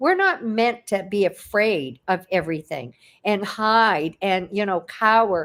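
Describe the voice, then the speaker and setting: This woman has a plain, everyday voice at a medium pitch, with lively intonation and a fairly slow pace. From Canada. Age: 60s. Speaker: online entrepreneur. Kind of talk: interview. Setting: livestream video call.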